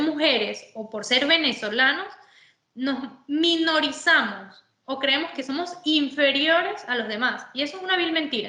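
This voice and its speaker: A woman's raised, projected voice at a fairly slow pace, with audible room echo. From Venezuela. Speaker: sports manager, former footballer. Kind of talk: interview.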